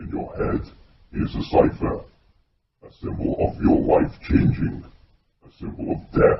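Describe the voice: This man talks in a put-on character voice.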